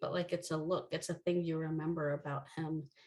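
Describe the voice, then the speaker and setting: This woman talks at a moderate pace with a fairly low pitch and a somewhat breathy voice. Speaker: brand marketing founder and conference speaker. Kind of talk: conference talk.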